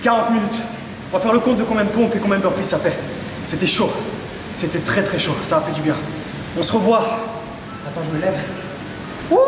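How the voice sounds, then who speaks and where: Over noticeable background noise and audible room echo, a man talks at a very fast pace in a high voice with ordinary pitch variation. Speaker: fitness coach. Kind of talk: casual workout vlog chat. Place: gym.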